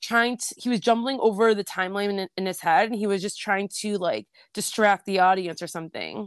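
Recorded in a dry, close sound with no echo, a woman talks at a fairly quick pace and a medium pitch. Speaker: podcast co-host. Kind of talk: casual chat. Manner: fast.

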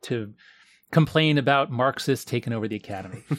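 A man with an unremarkable speaking voice and an American accent, ordinary pitch variation, dry, close sound with no echo and a very clean recording with a silent background. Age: 50s. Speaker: professor and author. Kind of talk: interview conversation. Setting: in person at a university.

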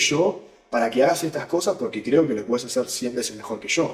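Somewhat breathy speech with lively intonation comes in a Rioplatense accent. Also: man. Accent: Rioplatense Spanish (voseo). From Uruguay. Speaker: venture capital investor. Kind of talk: interview.

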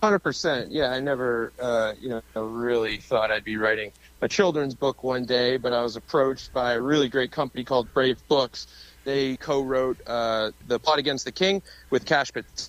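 A man with an American accent and an ordinary speaking voice talks at a moderate pace and medium pitch with ordinary pitch variation, in a dry, close sound with no echo. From Massachusetts. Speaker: conservative activist. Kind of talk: interview.

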